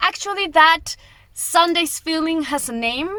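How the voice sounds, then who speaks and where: A woman speaks in a Colombian accent with a high, bright, sharp voice, raised and projected. Her pace is fairly slow and her intonation lively. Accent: Latin (Colombian). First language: Spanish. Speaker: travel vlogger. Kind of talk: casual vlog talk to camera.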